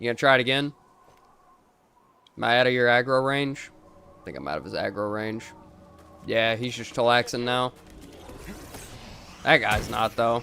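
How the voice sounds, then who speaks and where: Music plays in the background as this voice speaks with a slight Southern US accent. The pace is moderate, broken by long, frequent pauses. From US South. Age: 20s. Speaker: gaming streamer. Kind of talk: casual gameplay commentary.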